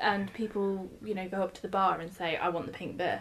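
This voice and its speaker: At a fairly quick pace, a woman of medium pitch speaks with fairly even intonation against noticeable background noise. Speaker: brewer. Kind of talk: casual chat. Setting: sharing one microphone.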